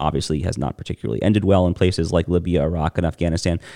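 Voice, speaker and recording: In an American accent, a man talks at a very fast pace with a very deep, low pitch. The sound is dry and close with no echo. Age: 30s. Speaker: political podcast host. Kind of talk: solo political commentary. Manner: many fillers and restarts.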